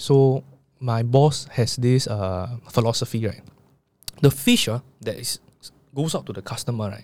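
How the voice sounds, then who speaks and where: A man with a medium-pitched voice and ordinary pitch variation talks at a fairly slow pace. His loudness swings widely, and he takes long, frequent pauses. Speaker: podcast host. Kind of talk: interview.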